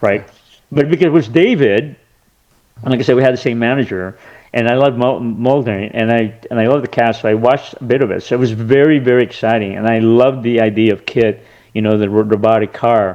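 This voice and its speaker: A man with an American accent speaks at a very fast pace, his medium pitch held in fairly even intonation. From California. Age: 60s. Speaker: actor and lawyer turned film director. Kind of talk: casual interview. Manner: halting, many fillers and restarts.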